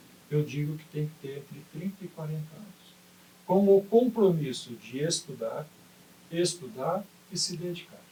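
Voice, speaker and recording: Speaking at a fairly slow pace, a man with a high pitch shows big swings in loudness and ordinary pitch variation. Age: 70s. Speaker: retired basketball coach and sports administrator. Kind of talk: interview.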